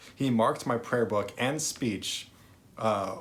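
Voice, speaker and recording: A man speaks at a very slow pace. His voice sits at a medium pitch. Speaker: vlogger who stutters. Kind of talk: personal storytelling monologue. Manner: stuttering with repetitions and blocks; many filler words.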